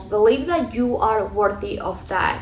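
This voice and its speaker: Lively intonation with a Mexican accent, plus audible room echo and noticeable background noise. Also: woman. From Mexico. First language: Spanish. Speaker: lifestyle vlogger. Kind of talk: vlog voiceover, motivational talk.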